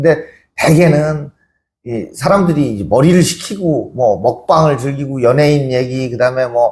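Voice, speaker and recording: A man with a Chungcheong accent, a fairly high pitch, lively intonation, and a somewhat breathy voice. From Chungcheong, Korea. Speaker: author and humanities lecturer. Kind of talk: book talk interview. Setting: literary museum event.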